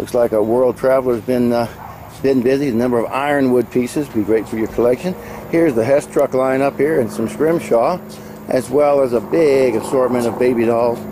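With noticeable background noise behind him, a man keeps up a fairly quick pace. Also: dry sound with no echo. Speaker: auction promoter. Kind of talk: walkthrough sales pitch previewing auction lots, rattling off items as he strolls. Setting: outdoors at auction grounds. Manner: brisk, upbeat salesman patter with a steady rolling list rhythm; casual, slightly halting with frequent 'uh' fillers and self-repeats. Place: market. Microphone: phone near.

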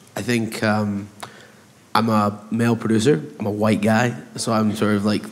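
A man with a fairly low voice speaks at a moderate pace, keeping his intonation fairly even.

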